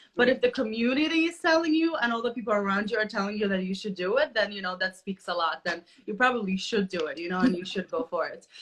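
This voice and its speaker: Against noticeable background noise, a woman with a fairly high pitch races along at a very fast pace with lively intonation. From Poland, raised in Chicago. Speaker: podcast host. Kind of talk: interview. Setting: live video stream.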